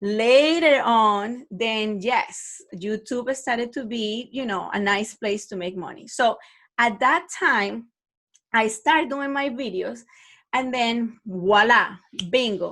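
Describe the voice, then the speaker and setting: A woman with a non-native accent and a fairly high pitch talks at a very slow pace with ordinary pitch variation, recorded very cleanly against a silent background. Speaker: online math teacher and podcaster. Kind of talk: podcast talk. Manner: casual, conversational.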